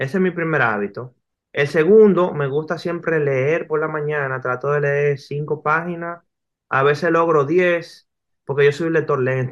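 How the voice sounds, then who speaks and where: A man in a normal speaking voice, fairly high in pitch with ordinary pitch variation, at a fairly slow pace against a quiet background. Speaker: graphic novelist. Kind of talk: interview.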